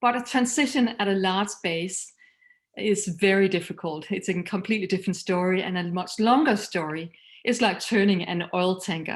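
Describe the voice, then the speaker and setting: A woman with a Danish accent and medium pitch, at a moderate pace, in a very clean recording with a silent background. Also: ordinary pitch variation. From Denmark. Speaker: missions leader and speaker. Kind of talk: recorded talk.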